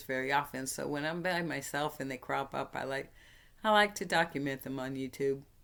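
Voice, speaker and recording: A woman's very deep, low-pitched voice on a very clean recording with a silent background. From New Hampshire. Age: 60s. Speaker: vlogger. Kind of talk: storytelling; casual vlog talk. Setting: spare bedroom at home. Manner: halting.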